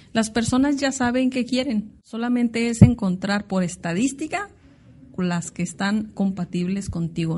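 A woman with a fairly high, somewhat breathy voice speaks at a moderate pace with lively intonation. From Mexico, Tijuana (Baja California). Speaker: international business consultant and entrepreneur. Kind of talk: interview. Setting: office.

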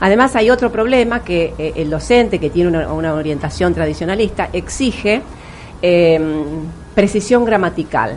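With noticeable background noise behind her, a woman speaks at a fairly low pitch with lively intonation. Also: moderate pace. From Argentina, Río de la Plata region. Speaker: English teacher and educator. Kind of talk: interview.

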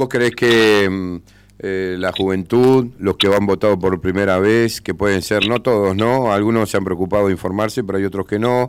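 With a normal speaking voice, a man talks at a moderate pace, his fairly low pitch held in fairly even intonation. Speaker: radio host. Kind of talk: radio interview.

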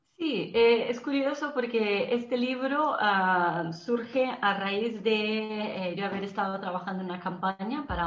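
A woman's voice with lively intonation at a fairly slow pace, with audible room echo. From Brazil. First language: Portuguese (speaking Spanish). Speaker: marketing and PR professional, author. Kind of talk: interview. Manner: halting, with frequent repetitions.

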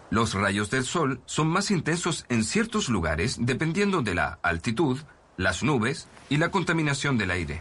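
With vocal fry and a medium pitch, a man speaks at a fairly slow pace. His pitch swings very widely while his loudness stays very even. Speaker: documentary presenter, environmental scientist. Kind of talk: nature/science documentary narration, scripted and explanatory. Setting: outdoors on location, an offshore oil platform. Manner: measured, clear, earnest, steady explanatory delivery.

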